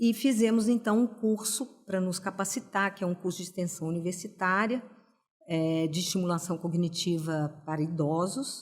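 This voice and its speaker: Somewhat breathy, a woman speaks at medium pitch and a moderate pace. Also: ordinary pitch variation. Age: 60s. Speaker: pedagogue and cognitive stimulation practitioner. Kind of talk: podcast interview.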